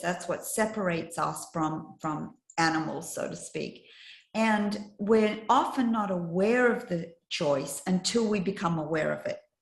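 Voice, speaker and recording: Against music in the background, a woman with a medium pitch speaks at a fairly slow pace with ordinary pitch variation. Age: 60s. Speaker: life coach and trainer. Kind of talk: casual chat.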